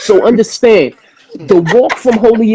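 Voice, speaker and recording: A man with a New York accent speaks at a high pitch and a moderate pace. The sound is dry and close with no echo. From Flatbush, Brooklyn, New York. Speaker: hip-hop artist. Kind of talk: casual chat.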